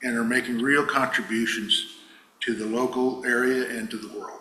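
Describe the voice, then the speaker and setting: A man with an American accent speaks at a fairly slow pace in a monotone, flat way. Audible room echo and noticeable background noise surround him. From US Northwest, central Washington. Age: 70s. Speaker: fruit grower speaking at congregation. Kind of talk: personal testimony. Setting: church service.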